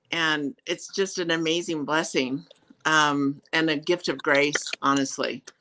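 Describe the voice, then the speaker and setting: Speaking fairly slowly with fairly even intonation, a woman has a very deep, low pitch and a bright, sharp tone. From Mexico. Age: 60s. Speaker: wellness therapist. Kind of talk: interview.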